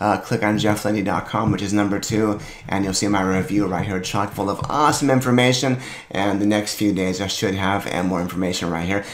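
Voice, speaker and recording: There is audible room echo as a man talks, his pitch varying in an ordinary way. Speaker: video creator reviewing products. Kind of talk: casual monologue review. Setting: home office. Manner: casual, chatty. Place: home room.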